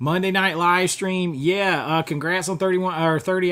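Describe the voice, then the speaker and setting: A man with a Southern US accent and a high pitch speaks at a moderate pace. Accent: Southern US accent, kept on purpose. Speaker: YouTuber, movie collector. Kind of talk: live stream chat with viewers. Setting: home live stream. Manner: casual, conversational.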